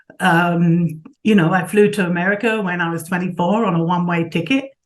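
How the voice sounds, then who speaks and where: The speech comes at a fairly quick pace in a London accent. Pitch varies in an ordinary way. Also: woman, fairly low pitch for a woman. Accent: southern English, London. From England, Southeast London. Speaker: sculptor and art professor. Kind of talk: interview.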